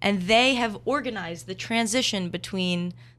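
A woman with an American accent has an unremarkable speaking voice, a moderate pace and ordinary pitch variation. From New Jersey. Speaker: university student. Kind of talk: casual chat.

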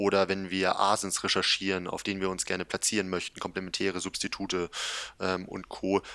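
A man talks at a fairly quick pace in a very deep, low pitch with a bright, sharp tone. The recording is very clean, with a silent background. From northern Germany, Kiel. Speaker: e-commerce agency founder. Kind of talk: interview.

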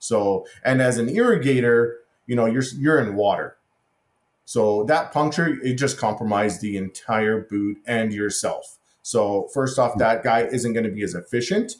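A man talks at a moderate pace in a medium pitch. His pitch variation is ordinary. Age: 40s. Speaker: irrigation contractor and inventor. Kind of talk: interview. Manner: halting.

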